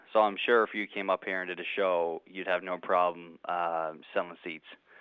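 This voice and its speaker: Speaking at a moderate pace, a man delivers his lines in a very deep, low, flat monotone. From Canada. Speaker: radio host. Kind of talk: casual chat. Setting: phone call.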